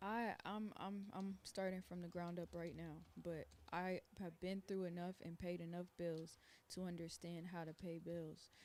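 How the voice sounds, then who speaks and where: A woman speaks at a moderate pace in a fairly low pitch with monotone, flat intonation. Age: 20s. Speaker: streamer. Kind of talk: casual chat.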